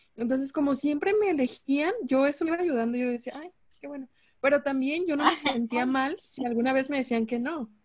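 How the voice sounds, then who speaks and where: A high-pitched woman at a fairly quick pace. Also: ordinary pitch variation. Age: 20s. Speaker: podcast guest. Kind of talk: casual chat. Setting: remote call.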